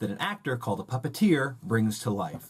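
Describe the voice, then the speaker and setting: Over noticeable background noise, a man with a medium pitch speaks at a moderate pace in an upbeat tone with very wide pitch swings. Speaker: puppeteer. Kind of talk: children's educational tutorial. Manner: upbeat, friendly.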